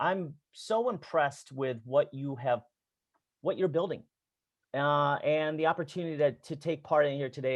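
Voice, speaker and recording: Pitched fairly high, a man talks at a moderate pace with ordinary pitch variation. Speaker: business school professor. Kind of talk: talk with slides. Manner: halting.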